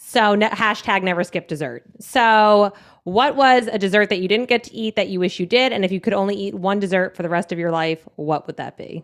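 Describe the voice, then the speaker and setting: On a very clean recording with a silent background, a woman with an American accent talks in a plain, everyday voice at a fairly quick pace, medium in pitch with ordinary pitch variation, big swings in loudness and hardly any pauses. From New Jersey. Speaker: podcast host. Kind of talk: casual chat.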